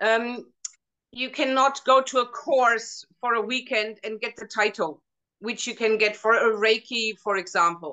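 Speaking fairly slowly with a German accent, a woman uses a fairly high pitch and ordinary pitch variation. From Germany. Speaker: hypnotherapist. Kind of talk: casual interview chat. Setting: video call.

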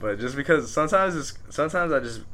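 A man's bright, sharp, fairly high voice in an American accent with lively intonation. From Southern California, Pico Rivera. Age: 20s. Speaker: rapper. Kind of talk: casual interview chat.

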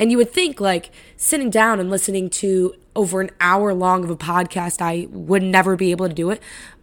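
A woman at medium pitch, animated in tone and fairly quick in pace with hardly any pauses, on a very clean recording with a silent background. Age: 20s. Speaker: podcast host, college student. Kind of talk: casual chat.

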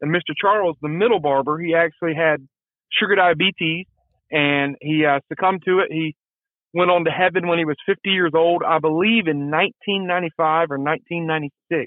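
A man with a Southern US accent speaks in a high pitch for a man, his intonation fairly even. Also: moderate pace. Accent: Southern US (Georgia). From US South, Georgia (Marietta). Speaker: barber, deer hunter. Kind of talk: casual storytelling interview. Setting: phone call.

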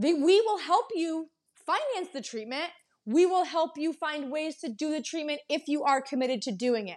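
A woman talks with a high pitch and lively intonation. Her accent is American. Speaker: dental office podcaster. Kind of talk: angry rant about patients wasting her time, vented in a quick, irritated monologue. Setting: solo home recording, microphone trouble. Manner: exasperated, pointed and repetitive, stressed and worn out; emphatic, with repeated phrases like "Don't waste my time".

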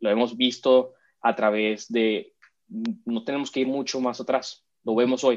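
The voice moves at a fairly slow pace in a monotone, flat intonation. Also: man, medium pitch for a man. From Venezuela, Caracas; raised in Miami. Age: 30s. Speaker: immigrant rights activist. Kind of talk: interview. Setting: video call. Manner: hesitant, many fillers.

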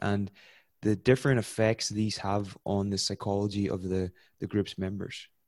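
A man talks at a moderate pace and a fairly low pitch in a normal speaking voice, recorded very cleanly with a silent background and a dry, close sound with no echo. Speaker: podcast host. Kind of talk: interview.

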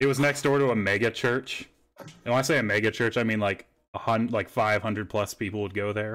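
Here a man with an American accent talks at a fairly quick pace and a medium pitch. The recording is very clean, with a silent background. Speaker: podcast host. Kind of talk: casual chat. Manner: animated.

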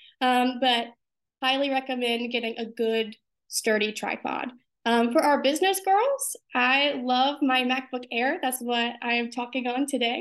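With an American accent, a woman speaks at a high pitch and a fairly slow pace, using ordinary pitch variation. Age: 20s. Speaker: pageant contestant and student. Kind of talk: casual interview.

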